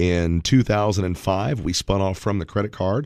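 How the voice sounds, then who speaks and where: At a moderate pace, a man with an unremarkable speaking voice talks at a fairly low pitch with ordinary pitch variation, recorded very cleanly against a silent background. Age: 40s. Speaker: financial advisor. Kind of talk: radio talk show.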